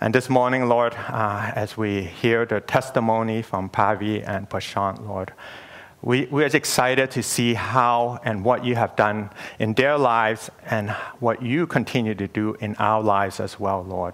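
This man has a plain, everyday voice at a medium pitch. He talks at a fairly slow pace with fairly even intonation. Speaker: church elder and preacher. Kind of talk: sermon. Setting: church.

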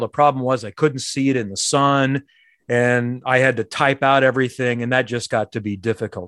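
In a Midwestern American accent, the speaker talks at a fairly quick pace in a dry, close sound with no echo, on a very clean recording with a silent background. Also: man. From Indianapolis, Indiana. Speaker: sports broadcaster. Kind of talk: interview.

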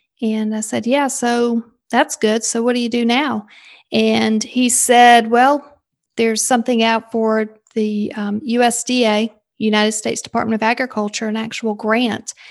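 Speaking at a moderate pace, a woman with a Southern US accent uses a fairly high pitch and monotone, flat intonation. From South Carolina, US South. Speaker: leadership coach and sales consultant. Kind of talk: casual interview chat.

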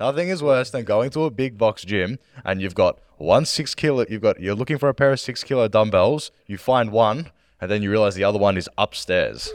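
With a dry, close sound with no echo and a quiet background, a man of medium pitch talks in a normal speaking voice at a fairly quick pace with lively intonation. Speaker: senior fitness coach.

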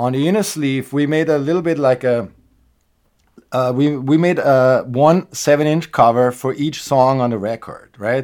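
Speaking in a German accent, a man talks at a moderate pace with fairly high pitch. The recording is very clean, with a silent background. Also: ordinary pitch variation. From Austria. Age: 40s. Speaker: punk rock musician. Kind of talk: casual chat.

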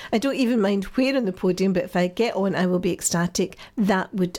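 A woman in a Scottish accent, medium pitch with ordinary variation, moderate pace, very clean recording with a silent background. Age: old. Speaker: radio host. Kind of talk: radio chat show.

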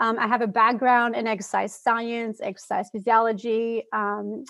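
In a French-Canadian accent, a woman speaks with a fairly high pitch. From Quebec City, Canada. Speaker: fitness coach for mothers. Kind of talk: podcast interview. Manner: casual, with fillers.

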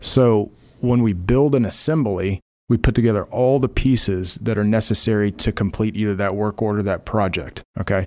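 At a moderate pace and a fairly low pitch, a man with a plain, everyday voice speaks with ordinary pitch variation against a quiet background. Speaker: software platform representative. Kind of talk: casual business interview. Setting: studio.

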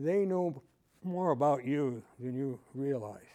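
A man's fairly high-pitched voice with an American accent, a dark, mellow tone and ordinary pitch variation, over a quiet background. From US Midwest, northern Illinois (Waukegan). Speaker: retired air force colonel and fighter pilot. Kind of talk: conference talk with audience.

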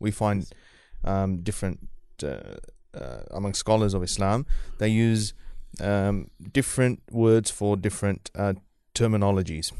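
With a New Zealand accent, a man speaks at a moderate pace in a fairly low, dark, mellow voice, using ordinary pitch variation and long, frequent pauses against a quiet background. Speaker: Islamic scholar. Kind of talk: interview discussion on Islamic topics. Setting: live radio studio.

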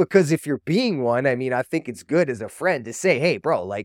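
Speaking at a fairly quick pace with vocal fry, a man with a medium pitch sounds dry and close with no echo in a very clean recording with a silent background. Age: 40s. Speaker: podcast host, recovering addict. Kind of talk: solo monologue podcast. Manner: casual, conversational.

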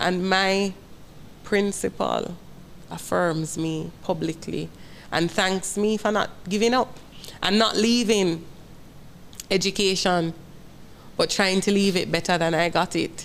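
Fairly slow and full of long, frequent pauses, a woman speaks with a Jamaican accent at a medium pitch. Her intonation is fairly even, and her loudness stays very even. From Jamaica, Kingston. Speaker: school principal. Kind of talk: personal testimony in interview. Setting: studio set.

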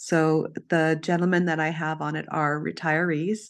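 At a very slow pace, a woman talks in a very deep, low pitch with monotone, flat intonation over a quiet background.

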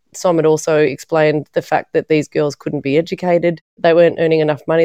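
With an Australian accent, a woman speaks at a fairly quick pace in a very deep, low pitch, with monotone, flat intonation, a dark, mellow tone and a dry, close sound with no echo. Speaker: documentary filmmaker. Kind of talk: interview.

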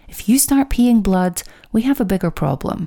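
The voice has a warm tone, dark and mellow, with lively intonation. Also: woman. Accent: Scottish. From Scotland. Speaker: podcast host and menopause coach. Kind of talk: solo educational podcast talk. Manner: warm, direct address to listeners.

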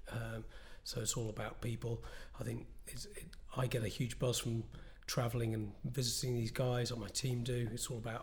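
Audible room echo surrounds a man speaking at medium pitch and a moderate pace. His voice is somewhat breathy, with monotone, flat intonation. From northwest England. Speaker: entrepreneur and product designer. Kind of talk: interview.

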